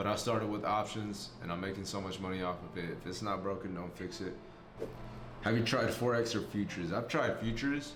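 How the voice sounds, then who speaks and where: There is audible room echo around this man. His pitch sits fairly low. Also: fairly quick pace. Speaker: trading content creator. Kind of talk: casual Q&A. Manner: monotone.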